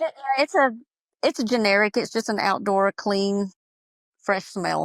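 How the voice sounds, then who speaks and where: Speaking with a Southern US accent, a woman uses a medium pitch and a moderate pace, broken by long, frequent pauses. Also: ordinary pitch variation, dry, close sound with no echo. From US South, Georgia. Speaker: small business owner, soap maker. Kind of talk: podcast interview. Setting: audio-only remote call.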